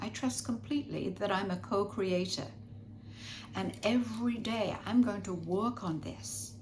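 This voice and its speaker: Audible room echo surrounds a woman talking at a moderate pace with a fairly low pitch. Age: 80s+. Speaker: spiritual teacher. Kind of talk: spiritual guidance talk.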